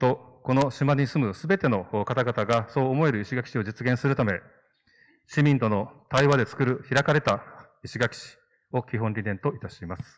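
A man at a medium pitch and moderate pace, over a quiet background. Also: ordinary pitch variation. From Okinawa, Ishigaki; Okinawa, Japan. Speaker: city councillor and election candidate; city councillor, election candidate. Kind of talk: public debate speech. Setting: hall with audience. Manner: formal. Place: stage. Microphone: handheld.

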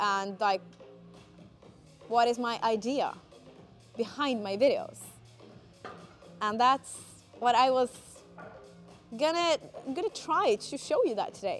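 With faint music in the background, a woman speaks at a high pitch and a very slow pace, leaving long, frequent pauses. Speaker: fitness content creator. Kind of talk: casual vlog chat. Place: gym.

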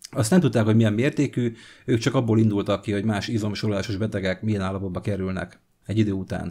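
A man with a fairly low pitch and a dark, mellow tone, very fast, fairly even in intonation, against a quiet background. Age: 40s. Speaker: vlogger. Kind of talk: personal testimony vlog; casual vlog chat, personal story. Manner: halting, many fillers. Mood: reflective, telling childhood story. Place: home room. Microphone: studio mic.

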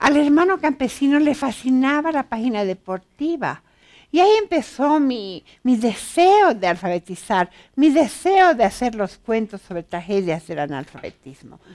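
The voice moves at a fairly slow pace with very wide pitch swings. The background is quiet. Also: woman, high pitch for a woman. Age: 60s. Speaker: author and pedagogue; interviewee. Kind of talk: interview. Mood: warm, reflective. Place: studio.

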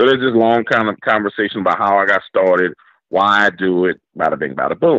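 This voice carries a New Orleans accent at a very fast pace. The pitch varies in an ordinary way. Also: man, fairly low pitch for a man. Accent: New Orleans Southern US. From New Orleans, Louisiana. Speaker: YouTube horror storyteller. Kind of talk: interview with storytelling. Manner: animated.

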